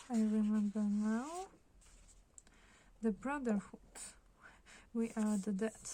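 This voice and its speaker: A soft-spoken woman talks very slowly, with long, frequent pauses. Her fairly high, somewhat breathy voice has a dark, mellow tone and ordinary pitch variation. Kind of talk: ASMR book flip-through talk.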